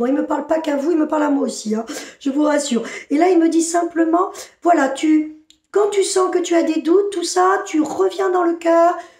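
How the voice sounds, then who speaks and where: Against a quiet background with audible room echo, a woman talks at a moderate pace in an extremely high pitch with ordinary pitch variation. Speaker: spiritual channeler. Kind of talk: channeled spiritual message. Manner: animated. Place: home room. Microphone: phone near.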